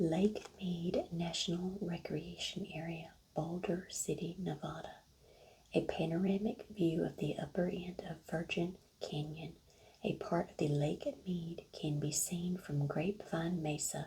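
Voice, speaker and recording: Soft-spoken with vocal fry, a woman talks at a fairly slow pace in a fairly low pitch and fairly even intonation. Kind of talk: ASMR soft-spoken.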